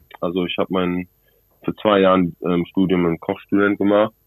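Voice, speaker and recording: A man with an English accent, at a moderate pace. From South Africa, Cape Town. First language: English (speaking German). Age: 20s. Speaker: rugby player. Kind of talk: phone interview. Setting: phone call. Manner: halting.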